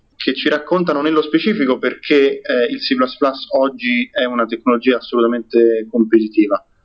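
A man's fairly high voice at a fairly slow pace with ordinary pitch variation. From Rome, Italy. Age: 20s. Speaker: software developer and community organizer. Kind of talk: podcast interview. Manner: halting, frequent repetitions.

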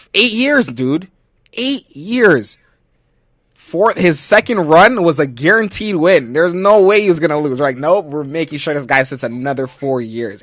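In an American accent, a man talks with an animated tone and very wide pitch swings at a fairly high pitch and a fairly slow pace. The recording is very clean, with a silent background. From USA. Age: 20s. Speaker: podcast co-host. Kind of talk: casual chat.

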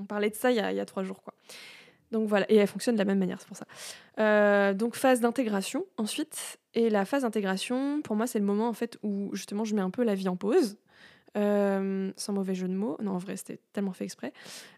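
On a very clean recording with a silent background, a woman at medium pitch talks fairly quickly with fairly even intonation and big swings in loudness. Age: 30s. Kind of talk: solo monologue. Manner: hesitant, many fillers.

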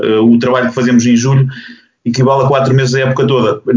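The man's voice comes across as somewhat breathy. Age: 40s. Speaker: basketball coach. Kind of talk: panel discussion.

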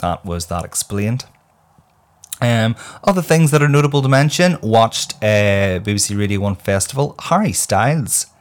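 An animated man with a Northern Irish accent talks at a moderate pace and medium pitch, with lively intonation, on a very clean recording with a silent background. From Northern Ireland. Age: 30s. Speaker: podcaster. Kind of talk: casual chat.

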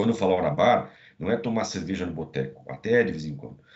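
Very fast speech from a man, with vocal fry and very wide pitch swings. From Brazil, Santa Catarina interior. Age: 50s. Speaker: business executive and MBA professor. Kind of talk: podcast interview.

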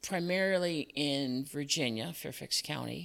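A woman with an American accent speaks in a very deep, low pitch with a bright, sharp tone. The recording is very clean, with a silent background. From Chicago area, US. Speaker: business owner, former parks manager. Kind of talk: casual interview.

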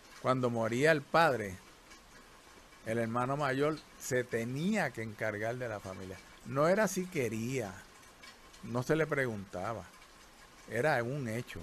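A man's medium-pitched voice at a very slow pace, with lively intonation and long, frequent pauses. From Puerto Rico. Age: 70s. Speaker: retired doctor. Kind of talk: life story interview. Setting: countryside during rain.

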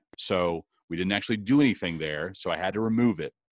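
Against a quiet background, a man with a fairly low pitch has a normal speaking voice, the sound dry and close with no echo. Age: 40s. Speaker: podcast host. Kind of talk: casual chat.

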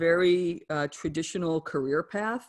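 A woman speaks in an ordinary speaking voice with an American accent, at a medium pitch and a moderate pace. Her intonation is lively, and the recording is very clean with a silent background. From New Jersey / New York City area. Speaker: author and wellness coach. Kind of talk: interview.

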